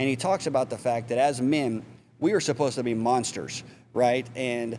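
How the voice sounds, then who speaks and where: In a Texas accent, a man speaks at a medium pitch. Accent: Texas drawl. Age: 40s. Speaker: mentor and spinal cord injury survivor. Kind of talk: podcast interview.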